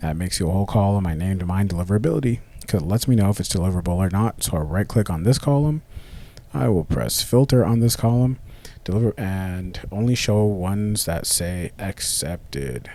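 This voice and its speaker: Fairly low male pitch, lively intonation and a fairly quick pace from a man. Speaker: cold email marketing coach. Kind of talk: screen-share tutorial. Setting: live screen recording with camera. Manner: casual, occasional stumbles and self-corrections.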